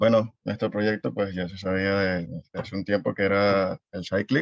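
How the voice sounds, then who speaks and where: A man with a fairly low voice is heard in a dry, close recording with no echo. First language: Spanish. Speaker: coding student. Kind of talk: project presentation. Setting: video call. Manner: halting.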